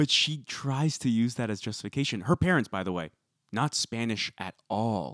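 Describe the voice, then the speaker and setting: With an American accent and a normal speaking voice, a man talks at a moderate pace and medium pitch, his intonation lively and the sound dry and close with no echo. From US West Coast, Bay Area. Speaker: podcast co-host. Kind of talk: casual chat. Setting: remote call.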